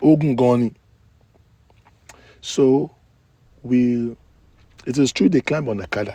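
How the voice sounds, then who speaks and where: At a fairly slow pace with long, frequent pauses, a man speaks in a dark, mellow, medium-pitched voice with ordinary pitch variation. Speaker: gossip vlogger. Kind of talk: casual storytelling live stream.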